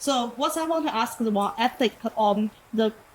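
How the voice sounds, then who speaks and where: A woman speaks at a fairly slow pace in a fairly high pitch. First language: not English. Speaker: audience member asking a question. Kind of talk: audience question. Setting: live event with audience. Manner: halting.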